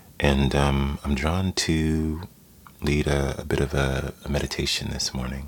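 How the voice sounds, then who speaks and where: Over noticeable background noise, a man talks at a moderate pace. His pitch is very deep and low, and his intonation is monotone and flat. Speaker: meditation teacher. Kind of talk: guided meditation. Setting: live stream recorded, Instagram.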